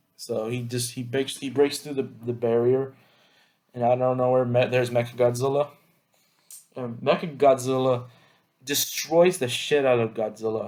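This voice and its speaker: A man at a medium pitch, fairly slow pace and fairly even intonation, with long, frequent pauses. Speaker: YouTuber reviewing movies. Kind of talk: casual movie review monologue.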